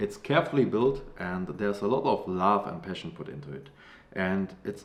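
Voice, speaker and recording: A man speaks at a moderate pace with a German accent. His fairly low voice has lively intonation. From Germany. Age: 30s. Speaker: comic creator. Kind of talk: crowdfunding pitch. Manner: casual, with fillers.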